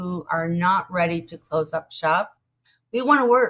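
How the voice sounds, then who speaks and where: Speaking at a moderate pace, a woman at a medium pitch uses ordinary pitch variation in a normal speaking voice. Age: 60s. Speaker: vlogger on job loss over 50. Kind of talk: casual monologue. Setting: outdoors in a garden.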